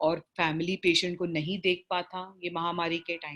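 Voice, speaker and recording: A woman speaks with a South Indian accent at a fairly low pitch. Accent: South Indian, Hindi described as weak. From South Indian, raised in Bombay. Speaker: palliative care doctor and facilitator. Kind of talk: online training session. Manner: halting, many fillers.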